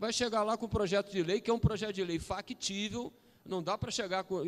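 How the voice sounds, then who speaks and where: A man is speaking. His pace is fairly quick. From Brazil, Cabo Frio (Rio de Janeiro state). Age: 60s. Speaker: round table panelist. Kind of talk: panel discussion. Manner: animated.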